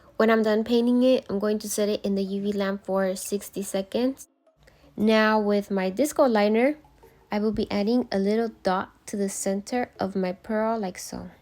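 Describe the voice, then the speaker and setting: Music plays behind the speech. The woman keeps a moderate pace. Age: 20s. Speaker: self-taught nail artist. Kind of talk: casual tutorial talk to camera. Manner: upbeat, bubbly.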